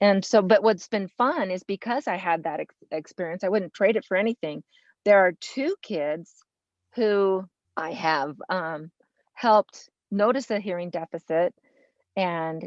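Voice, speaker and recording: At a fairly slow pace, the speaker talks with an American accent and ordinary pitch variation, recorded with a dry, close sound and no echo. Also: woman. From US West, Los Angeles. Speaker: early childhood special education teacher. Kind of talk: interview conversation. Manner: loud.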